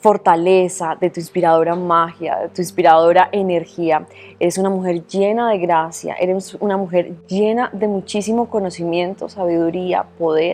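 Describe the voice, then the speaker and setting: A woman speaks at a moderate pace in a flat monotone, with hardly any pauses. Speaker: journalist. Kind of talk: interview host.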